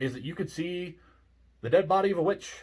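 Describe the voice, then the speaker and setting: A man speaks at a moderate pace in a somewhat breathy voice with lively intonation. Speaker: ghost story narrator. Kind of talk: casual talk to camera. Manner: grumpy, cynical, sarcastic.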